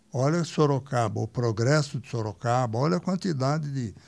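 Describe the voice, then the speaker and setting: Fairly slow and lively in intonation, a man speaks at a medium pitch. His tone is dark and mellow. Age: 80s+. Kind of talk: podcast interview answer.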